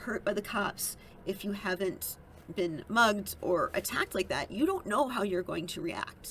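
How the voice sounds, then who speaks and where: Her intonation lively, a woman with an American accent speaks at a medium pitch. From Minnesota. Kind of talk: casual political commentary to camera.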